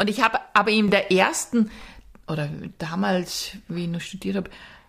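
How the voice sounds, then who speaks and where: With vocal fry in her voice, a woman speaks at a medium pitch, varying it in an ordinary way. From rural Austria. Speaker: podcast co-host. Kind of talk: casual chat.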